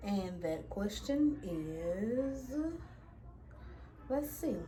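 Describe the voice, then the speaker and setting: Somewhat breathy, a woman with a medium pitch and a Louisiana accent makes very wide pitch swings in a room with audible echo. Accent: Louisiana accent, noticeable. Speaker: beauty vlogger. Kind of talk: casual chat.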